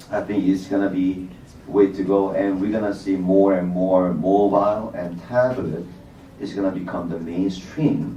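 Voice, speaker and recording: A man with a Korean accent and a very deep, low pitch at a moderate pace, with audible room echo and noticeable background noise. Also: fairly even intonation. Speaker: bank technology executive, panelist. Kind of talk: panel discussion.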